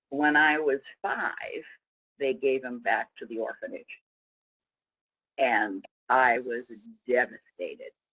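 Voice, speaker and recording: A woman speaks with an American accent at a very slow pace, leaving long, frequent pauses. Her loudness swings widely, and the sound is dry and close with no echo. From US Northeast. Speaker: interviewee sharing life story. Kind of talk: interview.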